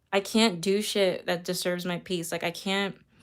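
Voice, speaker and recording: Woman's medium-pitched voice at a moderate pace, on a very clean recording with a silent background. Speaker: tarot reader. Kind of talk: live stream chat. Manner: casual, rambling with fillers.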